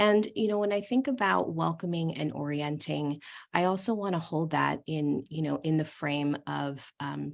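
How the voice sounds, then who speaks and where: A woman with a very deep, low pitch speaks at a moderate pace with lively intonation over a quiet background. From US East Coast. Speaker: social work field educator. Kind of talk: training presentation.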